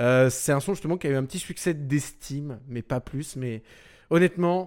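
Very clean recording with a silent background of a man in an animated tone, speaking at a fairly slow pace with ordinary pitch variation. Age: 20s. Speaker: radio host. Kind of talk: radio show presenting.

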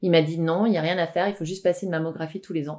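Very fast and fairly low in pitch, a woman speaks on a very clean recording with a silent background. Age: 40s. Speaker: naturopath. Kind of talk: interview.

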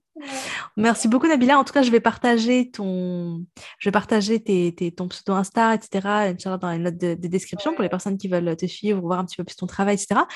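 At a moderate pace, a woman speaks in a medium pitch with ordinary pitch variation and big swings in loudness. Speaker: podcast host. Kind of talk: casual chat. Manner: talkative.

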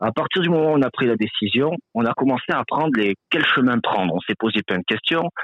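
A man speaks with lively intonation at a moderate pace. His pitch sits in the medium range. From France. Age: 30s. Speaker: truck driver. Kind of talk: interview. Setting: phone call. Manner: halting.

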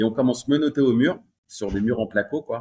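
The man has an unremarkable speaking voice, delivered at a moderate pace with ordinary pitch variation. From Paris region, France. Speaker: entrepreneur. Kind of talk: interview.

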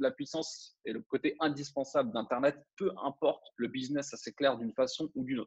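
At a moderate pace and with hardly any pauses, a man talks in a normal speaking voice at a fairly high pitch with ordinary pitch variation, the sound dry and close with no echo. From France. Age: 30s. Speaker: internet entrepreneur. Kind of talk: interview.

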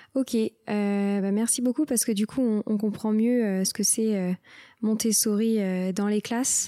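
Speaking very slowly, a woman uses a fairly high pitch, a dark, mellow tone, fairly even intonation and very even loudness. The sound is dry and close with no echo, on a very clean recording against a silent background. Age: 20s. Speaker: podcast host. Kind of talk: interview.

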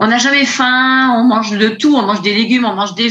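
Audible room echo surrounds a woman with a fairly high pitch. She talks at a fairly quick pace with fairly even intonation. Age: 50s. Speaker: nurse, coaching client. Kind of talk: testimony. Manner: hesitant.

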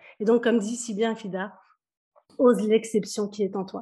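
A woman speaks at a moderate pace in a fairly high, somewhat breathy voice with a dark, mellow tone and fairly even intonation. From Kabylie, Algeria, raised in France. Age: 40s. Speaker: business coach. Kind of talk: interview.

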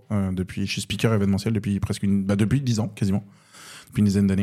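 In a dark, mellow tone and fairly low pitch, a man talks at a very fast pace. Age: 30s. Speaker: stand-up comedian and event announcer. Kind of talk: casual chat.

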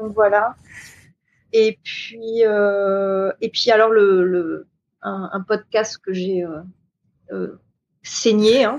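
A woman talks at a very slow pace in a medium pitch, with long, frequent pauses. Her intonation stays fairly even. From New Caledonia. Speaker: hotel events director. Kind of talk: interview.

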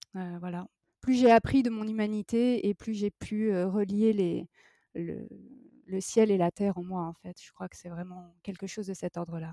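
With a dark, mellow tone, a woman speaks fairly slowly with fairly even intonation and big swings in loudness, in a dry, close sound with no echo. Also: medium pitch for a woman. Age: 40s. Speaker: ceramic artist. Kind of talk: interview. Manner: halting, many repetitions and fillers.

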